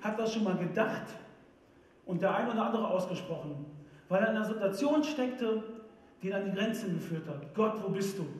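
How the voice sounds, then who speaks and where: Amid audible room echo, a man talks at a fairly quick pace with a high pitch, ordinary pitch variation, and long, frequent pauses. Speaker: preacher. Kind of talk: church sermon. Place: stage.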